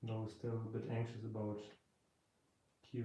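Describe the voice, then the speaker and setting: A speaker with a German accent talks in monotone, flat intonation amid audible room echo. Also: man. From Germany. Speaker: electronics hobbyist streamer. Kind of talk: live stream tutorial.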